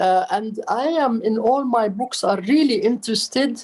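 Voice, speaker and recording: A woman's dark, mellow voice in an Arabic accent at a moderate pace. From Palestine. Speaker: writer and architect. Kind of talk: interview.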